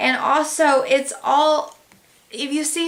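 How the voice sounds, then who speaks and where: A woman speaks over noticeable background noise. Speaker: tarot reader. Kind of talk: tarot reading.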